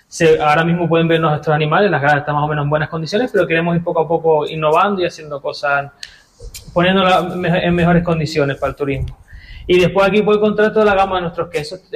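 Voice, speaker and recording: Speaking at a very fast pace, a man with a high pitch and fairly even intonation is heard over noticeable background noise. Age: 30s. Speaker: goat farmer and cheesemaker. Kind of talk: radio interview. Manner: halting.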